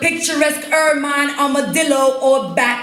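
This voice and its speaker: An American accent at a fairly slow pace, with ordinary pitch variation and noticeable background noise. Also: woman. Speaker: poet. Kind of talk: slam poetry performance. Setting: live stage.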